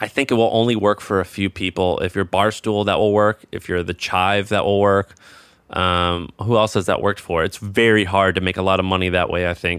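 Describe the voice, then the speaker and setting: A man speaks in an American accent at a fairly quick pace. His pitch is fairly low and his intonation monotone and flat. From US Midwest. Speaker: entrepreneur and podcast host. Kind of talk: casual interview.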